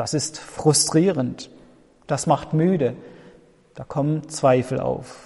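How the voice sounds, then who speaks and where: A man speaks at a very slow pace, with long, frequent pauses. His pitch is fairly high, and his intonation stays fairly even. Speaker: pastor. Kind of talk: sermon, a warm pastoral address to the congregation, with an earnest, reflective tone. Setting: church. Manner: measured and earnest, with a sincere, comforting delivery.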